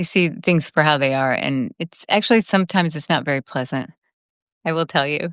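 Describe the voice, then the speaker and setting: Woman's very deep, low voice at a fairly quick pace with lively intonation, dry and close with no echo, on a very clean recording with a silent background. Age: 60s. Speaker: podcast host. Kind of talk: casual interview conversation.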